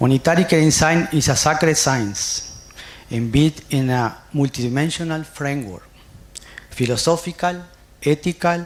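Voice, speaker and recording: Over noticeable background noise, a man with a Spanish accent speaks at a fairly high pitch with ordinary pitch variation. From Uruguay. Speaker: nursing scholar, conference speaker. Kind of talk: conference presentation. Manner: halting, with frequent fillers.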